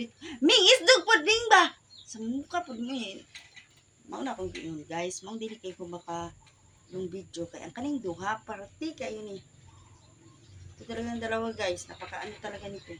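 A woman with a fairly high pitch speaks at a moderate pace in an animated tone, with very wide pitch swings and big swings in loudness. She leaves long, frequent pauses. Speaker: vlogger. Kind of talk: casual vlog.

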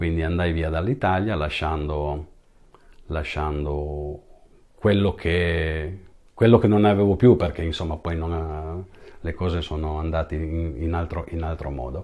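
The tone is dark and mellow. Speech moves at a fairly slow pace with ordinary pitch variation. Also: man, very deep, low pitch for a man. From northern Italy (Piedmont, then Liguria, Savona province). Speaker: musician, drummer. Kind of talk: personal storytelling monologue. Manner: halting, with many repetitions and fillers.

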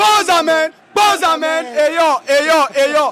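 A man at an extremely high pitch with a bright, sharp tone

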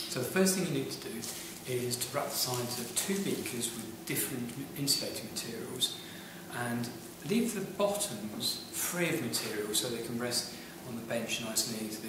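A man talks at a moderate pace amid noticeable background noise and audible room echo. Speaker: science teacher. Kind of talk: tutorial. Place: classroom. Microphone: camera far.

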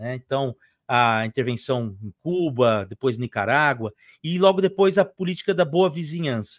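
On a very clean recording with a silent background and a dry, close sound with no echo, a man at medium pitch speaks at a fairly slow pace with lively intonation. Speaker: history professor and YouTuber. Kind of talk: interview. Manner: hesitant, repeats words.

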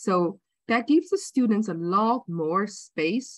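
A woman speaks with a somewhat breathy voice and lively intonation against a quiet background. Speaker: university admissions representative. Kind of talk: presentation to prospective students.

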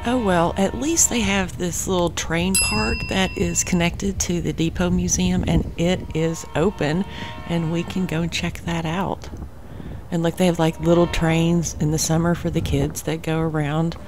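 Music plays in the background as a woman speaks at a moderate pace. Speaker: travel vlogger. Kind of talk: casual vlog chat. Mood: disappointed but upbeat. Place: open country. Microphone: phone near.

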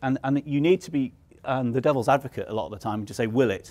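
Fairly quick pacing from a man, his pitch varying in an ordinary way. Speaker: presenter. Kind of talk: conference talk. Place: meeting room.

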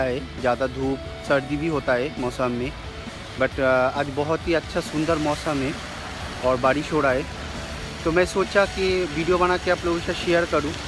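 A man's dry voice with no echo, music in the background. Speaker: vlogger. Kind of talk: casual vlog chat. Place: street. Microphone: phone near.

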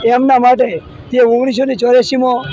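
Through noticeable background noise, a man's voice comes across at an extremely high pitch. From Banaskantha, Gujarat. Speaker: midday meal scheme organizer and protester. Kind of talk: on-the-spot interview at a protest.

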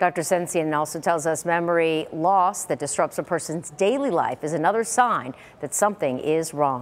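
A woman with a plain, everyday voice speaks at a moderate pace with hardly any pauses, her fairly low pitch showing ordinary variation. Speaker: news anchor. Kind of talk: news reading. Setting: studio.

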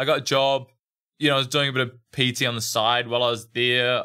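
The recording is very clean, with a silent background. A man speaks at medium pitch in a bright, sharp tone. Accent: New Zealand. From New Zealand, Motueka (top of South Island). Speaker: retired judo athlete, strength coach. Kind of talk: interview conversation.

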